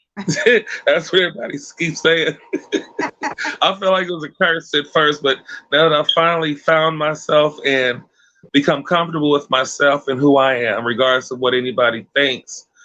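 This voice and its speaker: With an American accent, a man speaks at a moderate pace in an ordinary speaking voice. His pitch is fairly high, with ordinary pitch variation. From Los Angeles, South Central. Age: 30s. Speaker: YouTuber, mukbang creator. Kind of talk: interview. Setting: livestream.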